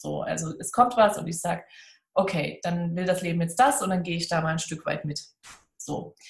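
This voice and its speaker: A woman talks at a moderate pace in a fairly low, somewhat breathy voice with ordinary pitch variation. Her loudness swings widely. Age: 30s. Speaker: seminar center owner. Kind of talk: casual interview.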